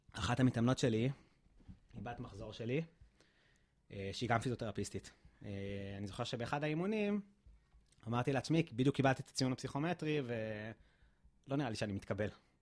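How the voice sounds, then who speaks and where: A man talks at a moderate pace, stopping often for long pauses. The background is quiet. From Israel, central (near Kfar Saba); Israel. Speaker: physiotherapist; podcast guest. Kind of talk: interview testimony. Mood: emotional recollection of tragedy. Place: gym. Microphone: studio mic.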